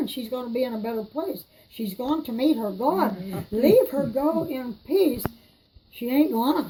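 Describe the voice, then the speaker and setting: Over noticeable background noise, someone with an American accent speaks at a fairly slow pace with lively intonation. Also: woman, high pitch for a woman. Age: 80s+. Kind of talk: casual storytelling at home. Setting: kitchen.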